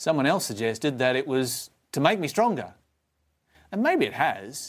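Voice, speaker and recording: In a very clean recording with a silent background, a man with an Australian accent speaks at a moderate pace, his pitch swinging very widely. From Tasmania, Australia. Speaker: preacher. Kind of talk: sermon. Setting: live stream.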